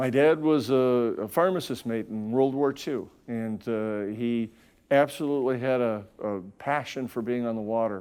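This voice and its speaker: In a Wisconsin accent, a man speaks at a fairly slow pace and a medium pitch. His pitch varies in an ordinary way, and the recording is very clean with a silent background. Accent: Upper Midwest (Wisconsin). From Wisconsin, north of Milwaukee. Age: 60s. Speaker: company CEO. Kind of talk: interview.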